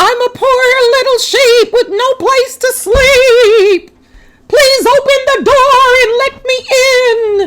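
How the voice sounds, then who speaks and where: A woman puts on a squeaky character voice at an extremely high pitch. She drags it out at a very slow pace. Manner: deceptive, coaxing.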